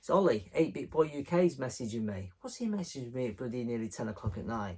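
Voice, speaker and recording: At a moderate pace, a man of medium pitch speaks with lively intonation and a somewhat breathy quality. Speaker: retro game collector YouTuber. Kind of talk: casual vlog. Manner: rambling, conversational.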